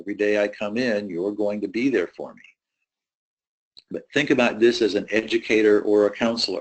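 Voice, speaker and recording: A man speaks with fairly even intonation in a plain, everyday voice. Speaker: university presenter on student mental health. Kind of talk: webinar presentation. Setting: online webinar.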